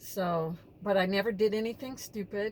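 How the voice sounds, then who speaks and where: The pitch varies in an ordinary way. It's an unremarkable speaking voice. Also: woman. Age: 60s. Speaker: vlogger, former social worker. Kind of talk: casual vlog monologue. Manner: conversational, with fillers.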